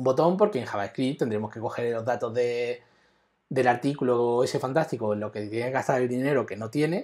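With ordinary pitch variation and a fairly quick pace, a man talks over a quiet background. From Spain. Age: 40s. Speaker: web developer; web development instructor. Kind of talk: live coding tutorial; tutorial. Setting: live stream. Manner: halting, with many repetitions. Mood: relaxed, joking.

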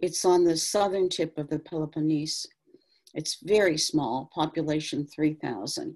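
A woman speaks with a very deep, low pitch and a dark, mellow tone. Her pace is fairly slow, her pitch variation ordinary, and the background quiet. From US Midwest, Youngstown, Ohio; Ohio. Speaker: painter. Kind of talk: panel conversation. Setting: video call. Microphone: video call.

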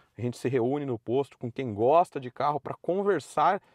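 A man speaks with a dry sound and no echo, against a quiet background. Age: 30s. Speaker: car YouTuber. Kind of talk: commentary video monologue. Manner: casual, conversational. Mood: opinionated, mildly critical. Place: car. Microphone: phone near.

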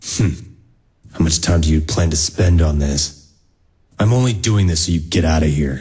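A man's put-on character voice, very deep and low in pitch, with long, frequent pauses. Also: moderate pace. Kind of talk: comic dub dialogue.

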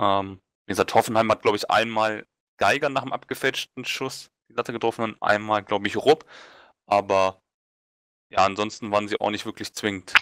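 The recording is dry and close with no echo, and a man speaks at a moderate pace with long, frequent pauses. His fairly low pitch has a bright, sharp tone and fairly even intonation. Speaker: football talk panelist. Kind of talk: casual chat.

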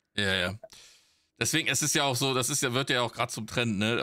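A man talks in a bright, sharp tone with fairly even intonation. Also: quiet background. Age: 40s. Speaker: podcast co-host, streamer. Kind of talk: casual chat. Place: home room.

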